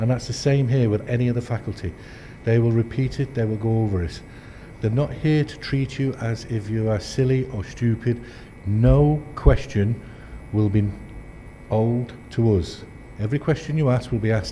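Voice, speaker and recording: A man speaks in a medium pitch with ordinary pitch variation. He leaves long, frequent pauses. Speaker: endoscopy trainer. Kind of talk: lecture. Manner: fast when excited; animated.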